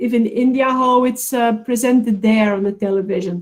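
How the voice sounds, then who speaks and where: At a moderate pace, a woman speaks at a fairly high pitch with ordinary pitch variation. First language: not English. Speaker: counselling expert speaker. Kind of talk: webinar Q&A answer. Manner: halting.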